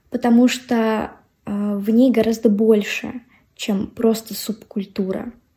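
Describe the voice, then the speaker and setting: Her voice has a dark, mellow tone and a high pitch, and the woman speaks at a very slow pace. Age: 20s. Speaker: podcast host. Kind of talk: monologue.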